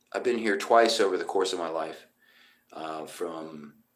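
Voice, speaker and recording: His pitch moves over a very wide range. He is a man with an American accent. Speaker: musician. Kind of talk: casual live stream chat. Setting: motel room. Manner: loud.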